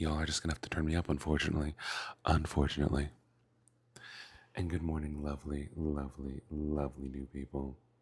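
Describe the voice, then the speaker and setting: Quiet and somewhat breathy, a man with a very deep, low pitch talks at a fairly quick pace in monotone, flat intonation, with long, frequent pauses. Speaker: streamer. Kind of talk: casual chat. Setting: mobile livestream.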